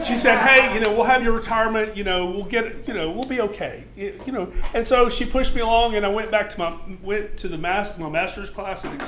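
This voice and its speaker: A man's raised, projected voice, high in pitch with ordinary variation, moves at a fairly quick pace amid audible room echo and noticeable background noise. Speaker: extension horticulture agent, military veteran. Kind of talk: lecture. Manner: loud.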